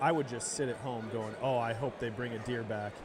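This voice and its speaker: A man's voice carries audible room echo, with noticeable background noise around it. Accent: Upper Midwest. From central Wisconsin, near Eau Claire. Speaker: hunter, podcast guest. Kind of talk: casual chat. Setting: live at a convention show. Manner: animated.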